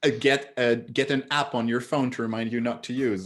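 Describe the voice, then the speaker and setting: In a very clean recording with a silent background, someone talks at a moderate pace with a French accent. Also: man. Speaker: psychotherapist. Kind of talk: casual chat.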